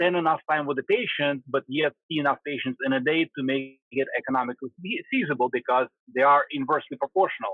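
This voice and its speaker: With a Russian accent, the speaker talks at a very fast pace with fairly even intonation. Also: man, fairly high pitch for a man. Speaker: spinal surgeon. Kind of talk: interview answer.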